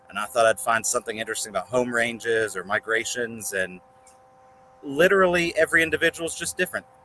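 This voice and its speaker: Talking at a very fast pace with a West Virginia accent, a man swings his pitch very widely, his sound dry and close with no echo against noticeable background noise. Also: medium pitch for a man. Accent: West Virginia accent, unaware of it. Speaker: reptile breeder. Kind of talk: podcast interview. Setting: outdoors.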